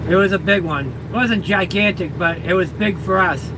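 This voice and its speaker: Over noticeable background noise, a man with a Boston accent speaks at a moderate pace in a raised, projected, high-pitched voice. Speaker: livestreamer, truck driver. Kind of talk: casual live stream chat. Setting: in a plow truck.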